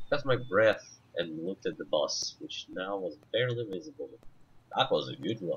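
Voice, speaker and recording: A man speaks at a moderate pace in a Russian accent. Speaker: gamer. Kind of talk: gameplay commentary, reading game text aloud. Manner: halting.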